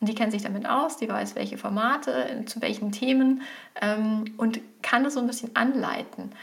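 A woman has an ordinary speaking voice, fairly high in pitch. She talks at a fairly slow pace with ordinary pitch variation. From Germany, village. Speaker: professor of digital marketing. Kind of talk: casual interview.

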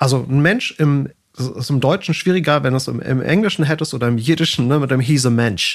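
A man speaks at a fairly quick pace in a fairly high pitch. He has a plain, everyday voice with ordinary pitch variation. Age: 40s. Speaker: organizational psychology professor. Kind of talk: casual interview.

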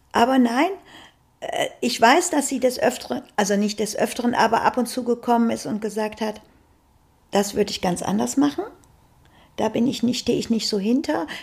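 A woman's fairly high, lively voice with vocal fry, at a moderate pace with long, frequent pauses. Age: 60s. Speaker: grandmother, housekeeping worker. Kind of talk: casual interview chat.

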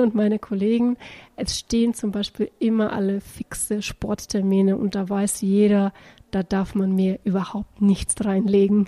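A woman's dark, mellow, somewhat breathy tone at a fairly slow pace, with fairly even intonation. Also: dry, close sound with no echo. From Bulgaria. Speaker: executive recruiter. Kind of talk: casual testimonial.

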